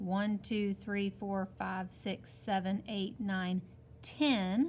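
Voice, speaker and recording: This woman's voice is somewhat breathy, sitting at a medium pitch with ordinary pitch variation. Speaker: teacher. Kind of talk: tutorial. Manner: slow.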